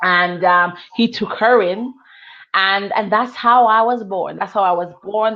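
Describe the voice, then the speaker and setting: In a Jamaican accent, a woman talks at a fairly slow pace with medium pitch and fairly even intonation. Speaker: author. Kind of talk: testimony.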